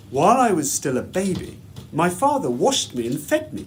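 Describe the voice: A man speaks at a moderate pace. His pitch makes very wide swings.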